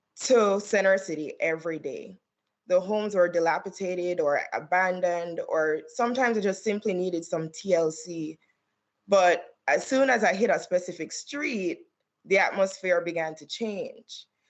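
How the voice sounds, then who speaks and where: With a Caribbean accent, a woman speaks at a medium pitch with ordinary pitch variation and big swings in loudness. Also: moderate pace. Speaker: attorney. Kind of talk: testimony. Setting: remote hearing video call.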